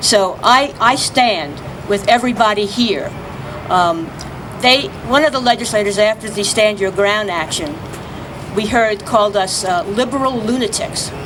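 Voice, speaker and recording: A woman speaks at a moderate pace with a fairly high pitch and ordinary pitch variation. Audible room echo and noticeable background noise surround her. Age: 60s. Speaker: activist. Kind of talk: press conference speech. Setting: outdoors.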